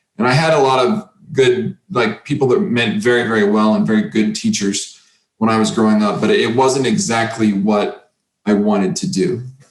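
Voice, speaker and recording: A man's voice with very wide pitch swings and very even loudness. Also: medium pitch for a man, moderate pace. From Oklahoma, Creek County. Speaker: kendo instructor. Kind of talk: interview conversation.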